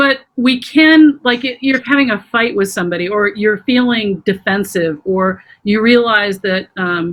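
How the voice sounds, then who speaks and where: A woman has an unremarkable speaking voice pitched fairly high. She speaks at a fairly slow pace with ordinary pitch variation. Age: 50s. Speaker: trauma healing practitioner. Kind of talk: interview. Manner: conversational, many fillers.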